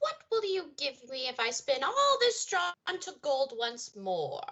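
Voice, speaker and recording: A woman puts on a character voice, pitched high with very wide swings. She speaks at a fairly slow pace. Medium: stage play. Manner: sly, bargaining.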